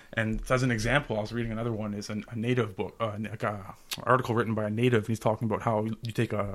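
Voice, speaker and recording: Talking at a very fast pace, a man with a Canadian accent keeps a fairly low pitch and a monotone, flat intonation. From Ottawa, Canada. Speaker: project coordinator with a philosophy degree. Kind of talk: casual interview chat.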